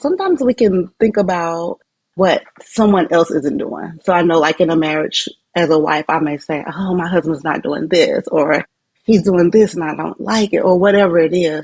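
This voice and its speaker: At a fairly low pitch, a woman uses an ordinary speaking voice, and her pitch variation is ordinary. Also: moderate pace. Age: 30s. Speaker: teacher and online student. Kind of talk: interview. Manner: conversational.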